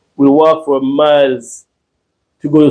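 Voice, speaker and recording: A man's fairly high-pitched voice. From Jamaica, Saint Thomas parish. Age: 60s. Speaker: YouTuber, retiree. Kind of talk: casual live-stream chat. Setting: live stream. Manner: halting, repeats words.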